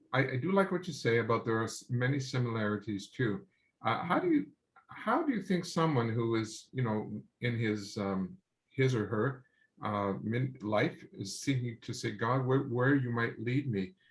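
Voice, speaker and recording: A man's plain, everyday voice with a Canadian accent, medium pitch and lively intonation. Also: moderate pace. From Quebec, Canada (Sherbrooke). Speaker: interviewer. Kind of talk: interview.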